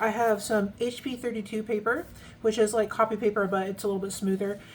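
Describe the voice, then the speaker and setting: A soft-spoken woman's fairly high voice at a very fast pace. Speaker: fountain pen ink reviewer. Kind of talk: casual product review tutorial.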